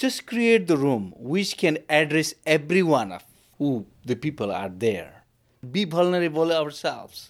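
A man with a Nepali accent talks fairly slowly in a fairly high voice with very wide pitch swings, recorded very cleanly against a silent background. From Bhutan. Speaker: lay minister. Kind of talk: interview. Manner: halting.

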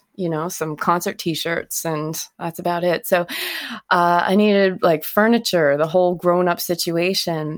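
A woman with a fairly low pitch and an unremarkable speaking voice talks at a fairly slow pace. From Nova Scotia, Canada. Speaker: singer-songwriter. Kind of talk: casual interview chat.

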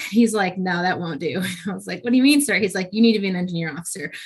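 Somewhat breathy delivery at a very fast pace from a woman at medium pitch. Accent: American. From New York, with six childhood years in England. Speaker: army officer, combat engineer. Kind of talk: interview conversation.

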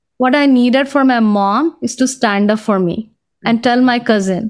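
At a moderate pace, a woman with an Indian accent speaks in a high voice. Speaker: career coach and author. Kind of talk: casual interview. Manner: reflective, laughs often.

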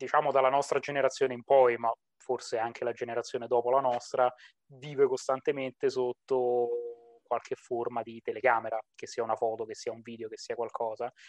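This man talks fairly quickly at a medium pitch in a flat, monotone delivery. His loudness swings widely from moment to moment. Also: dry, close sound with no echo. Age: 20s. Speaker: psychologist. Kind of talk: casual interview.

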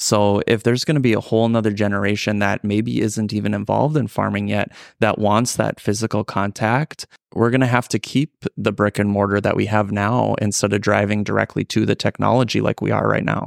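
A man with an Upper Midwest accent speaks at a fairly quick pace with hardly any pauses, his pitch fairly low and his intonation fairly even. His loudness stays very even, and the sound is dry and close with no echo in a very clean recording with a silent background. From North Dakota, Ellendale area. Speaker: farmer and agricultural lender. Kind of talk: casual interview. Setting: conference hotel.

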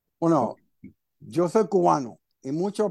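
This man's voice is high in pitch with ordinary pitch variation, recorded dry and close with no echo over a quiet background. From Cuba, raised in Miami from age seven. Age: 50s. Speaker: recovering alcoholic sharing his story. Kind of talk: personal testimony in interview. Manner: halting, many repetitions and fillers.

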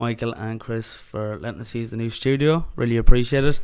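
A man with an ordinary speaking voice talks at a fairly quick pace in a medium pitch. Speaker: podcast co-host.

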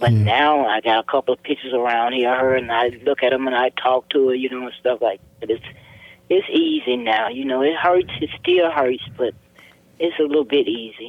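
The speaker talks at a fairly quick pace with ordinary pitch variation over noticeable background noise. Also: woman, very deep, low pitch for a woman. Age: 70s. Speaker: mother of murder victim. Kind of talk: personal testimony interview.

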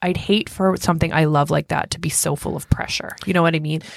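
A woman speaks in an ordinary speaking voice. Her pitch is fairly low and her intonation fairly even. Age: 30s. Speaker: podcast co-host and nurse. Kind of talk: casual chat.

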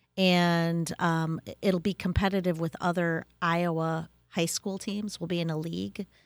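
With an Upper Midwestern accent, a woman speaks fairly slowly and with fairly even intonation on a very clean recording with a silent background. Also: fairly low pitch for a woman. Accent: Upper Midwestern American. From Wisconsin. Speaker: school instructional coach. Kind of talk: interview.

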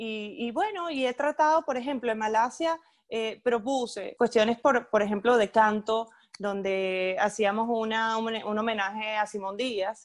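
Over a quiet background, a woman talks at a fairly slow pace with a fairly high pitch and ordinary pitch variation. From Venezuela, Puerto Ordaz (Ciudad Guayana). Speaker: event producer. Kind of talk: casual interview. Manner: animated, with many repetitions.

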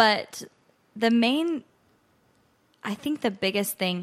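A woman talks at a fairly slow pace with an American accent. The recording is very clean, with a silent background. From Nebraska, US Midwest. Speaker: country singer-songwriter. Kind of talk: casual interview chat.

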